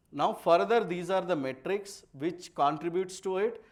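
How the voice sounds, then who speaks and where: A man speaks at a moderate pace with a high pitch and ordinary variation. Room echo can be heard. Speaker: software architect giving a tech talk. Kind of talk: conference talk with live demo.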